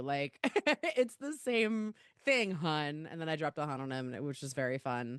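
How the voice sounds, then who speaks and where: With a Baltimore accent, a woman speaks in very wide pitch swings. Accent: Baltimore accent, comes out in some words. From Baltimore, Maryland, US. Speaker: podcast host, comedian, record label founder. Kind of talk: casual interview chat. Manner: animated, conversational.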